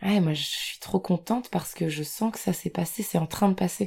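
A woman with a medium pitch and a dark, mellow tone speaks somewhat breathily at a moderate pace, her pitch varying in an ordinary way. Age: 20s. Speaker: abuse survivor sharing her story. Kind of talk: personal testimony.

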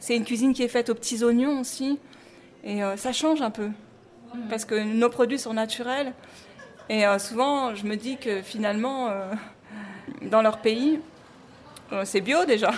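A woman speaks at a high pitch and a fairly slow pace. Her pauses are long and frequent. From Paris, France. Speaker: restaurant co-manager. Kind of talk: interview testimony.

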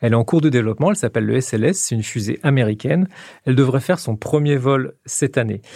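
A man talks at a very fast pace. His medium-pitched voice has a dark, mellow tone. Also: lively intonation. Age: 50s. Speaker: science journalist. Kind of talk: explanatory interview.

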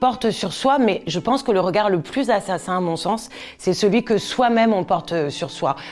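A woman talks at a medium pitch and a moderate pace with ordinary pitch variation. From Corsica. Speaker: TV presenter and stylist. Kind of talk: interview testimony. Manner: hesitant with fillers.

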